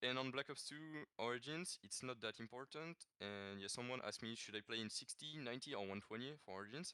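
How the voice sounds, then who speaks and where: Speaking fairly quickly with a French accent, a man at medium pitch uses ordinary pitch variation in a dry, close recording with no echo. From France. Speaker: gaming world record holder. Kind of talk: podcast interview. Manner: halting, many fillers and repeats.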